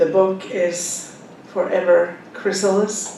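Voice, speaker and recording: A woman speaks at a very slow pace with a strong Finnish accent. Noticeable background noise and audible room echo surround her. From Finland. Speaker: author. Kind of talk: book talk to audience.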